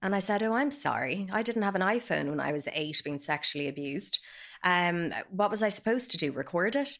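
A woman's medium-pitched voice in a Dublin accent, with very wide pitch swings, on a very clean recording with a silent background. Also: fairly quick pace. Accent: Dublin Irish. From Ireland, Dublin. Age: 30s. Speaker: abuse survivor. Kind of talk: testimony. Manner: hesitant, frequent 'um' fillers.

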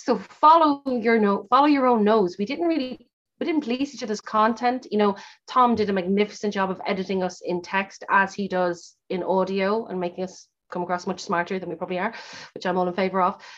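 A woman with an Irish accent speaks at a fairly quick pace. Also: medium pitch for a woman, lively intonation. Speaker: podcast host, author and actor. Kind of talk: casual interview.

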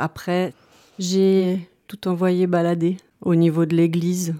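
A woman speaks in a fairly low pitch with a dark, mellow tone and monotone, flat intonation. The recording is very clean, dry and close, with a silent background and no echo. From Switzerland, Lausanne. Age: 50s. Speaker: teacher. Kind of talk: personal testimony interview. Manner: hesitant, many fillers.

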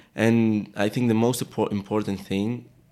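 With a Greek accent, a man speaks in a dark, mellow tone and fairly even intonation. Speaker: fashion model. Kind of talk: casual interview chat. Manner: halting, searching for words.

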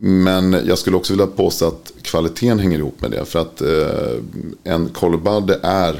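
A man talks at a moderate pace. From Sweden, Örebro. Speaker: ceramic tile industry expert. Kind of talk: casual interview. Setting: studio.

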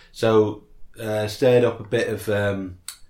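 Here is a man speaking. His voice is somewhat breathy. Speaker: podcast co-host. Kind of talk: casual chat. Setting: front room at home.

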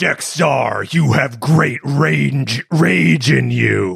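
Using a put-on character voice, a man speaks very slowly at a medium pitch, raspy and menacing. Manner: menacing, proclaiming.

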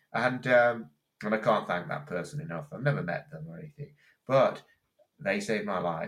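Vocal fry runs through a man's speech as his pitch swings very widely. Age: 50s. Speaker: transplant recipient and amateur athlete. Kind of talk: interview. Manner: halting.

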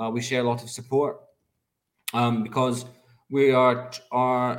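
A man with a Scottish accent speaks at a fairly slow pace and medium pitch. His intonation is monotone and flat. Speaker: charity fundraiser. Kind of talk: casual chat. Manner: halting.

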